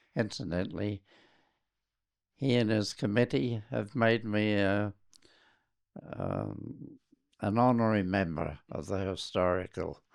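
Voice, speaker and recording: Taking long, frequent pauses, a man with a New Zealand accent speaks at a fairly slow pace and a fairly low pitch. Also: ordinary pitch variation. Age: 80s+. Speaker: RAF and test pilot veteran. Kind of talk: interview answer.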